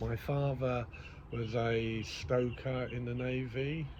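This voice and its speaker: With audible room echo, a man talks at a medium pitch with fairly even intonation. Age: 60s. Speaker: podcaster. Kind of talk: casual monologue. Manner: hesitant, many ums.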